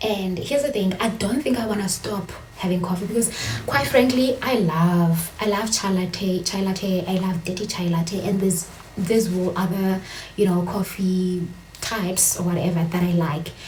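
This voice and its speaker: A woman with a South African accent speaks at medium pitch and a moderate pace with ordinary pitch variation, amid audible room echo and noticeable background noise. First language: Xhosa. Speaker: vlogger. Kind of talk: casual vlog monologue. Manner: code-switching, hesitant with fillers.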